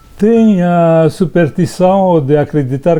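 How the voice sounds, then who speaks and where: A man with a Romanian accent talks at a fairly slow pace. His tone is dark and mellow. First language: Romanian (speaking Portuguese). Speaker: writer, poet. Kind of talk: prepared talk and poetry reading.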